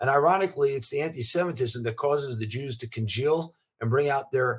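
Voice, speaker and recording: A man's somewhat breathy voice at a fairly quick pace, with lively intonation. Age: 50s. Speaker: venture capitalist. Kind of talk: interview.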